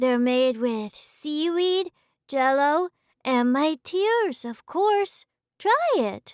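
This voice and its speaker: The voice is a put-on character voice. It is high-pitched and very slow. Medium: read story. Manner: soft, gentle.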